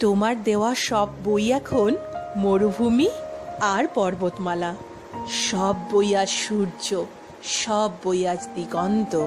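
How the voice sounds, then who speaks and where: Music plays in the background. The loudness stays very even, and the pitch varies in an ordinary way. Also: woman, medium pitch for a woman. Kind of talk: poetry reading.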